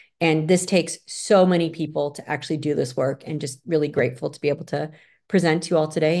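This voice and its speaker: A woman with a very deep, low voice and an American accent, talking very fast with ordinary pitch variation against a quiet background. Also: big swings in loudness. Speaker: psychologist lecturer. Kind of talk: lecture.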